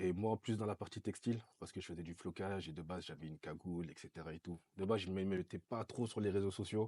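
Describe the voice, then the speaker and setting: A man talks at a very fast pace with hardly any pauses, his pitch very deep and low and his tone dark and mellow. His intonation stays fairly even, and the sound is dry and close with no echo. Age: 20s. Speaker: recording studio owner, entrepreneur. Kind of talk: casual interview chat.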